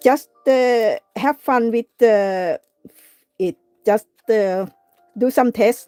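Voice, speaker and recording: The speaker has a non-native accent and a dark, mellow tone with ordinary pitch variation. Delivery is very slow, with long, frequent pauses. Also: woman, fairly high pitch for a woman, dry, close sound with no echo. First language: not English. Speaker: craft livestreamer. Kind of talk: live craft tutorial. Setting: live stream. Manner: halting, many fillers.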